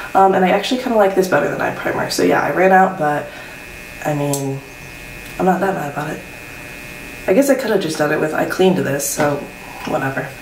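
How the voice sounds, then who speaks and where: Quiet and fairly low-pitched, a woman talks at a very fast pace broken by long, frequent pauses, with audible room echo and noticeable background noise. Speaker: beauty vlogger. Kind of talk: makeup tutorial chat. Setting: at home, morning, roommates asleep. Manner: quiet, keeping voice down; casual, filler-heavy.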